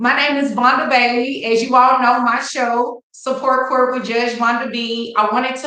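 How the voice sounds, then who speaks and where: Audible room echo surrounds this voice. A woman speaks at a fairly high pitch with a Texas accent. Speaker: attorney and legal educator. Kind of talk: live-stream legal talk. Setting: live stream.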